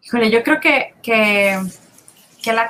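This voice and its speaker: Very slow speech in a bright, sharp tone. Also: woman. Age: 40s. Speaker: business consultant. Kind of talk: podcast interview.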